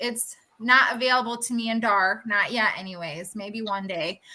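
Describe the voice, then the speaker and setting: A woman's normal speaking voice, fairly high in pitch, at a moderate pace with fairly even intonation. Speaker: furniture flipper and small business owner. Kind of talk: casual chat.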